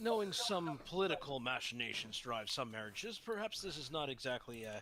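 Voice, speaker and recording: Putting on a raspy character voice, a man talks at a fairly quick pace in a medium pitch. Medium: actual play. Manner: measured, verbose, analytical.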